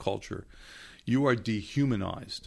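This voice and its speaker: On a very clean recording with a silent background, a man uses an ordinary speaking voice at a medium pitch with ordinary pitch variation. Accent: American. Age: 60s. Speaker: news columnist and novelist. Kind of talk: interview. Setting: studio.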